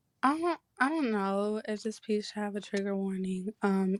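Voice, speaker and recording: The recording of this woman is very clean, with a silent background and dry, close sound with no echo. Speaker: spoken word poet. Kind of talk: poetry performance. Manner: halting.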